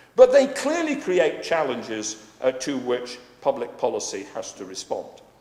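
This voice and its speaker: Moderate-paced speech from a man, audible room echo and noticeable background noise around it. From Scotland. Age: 60s. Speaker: economist speaking on pensions policy. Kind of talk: conference talk. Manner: hesitant fillers, frequent uh.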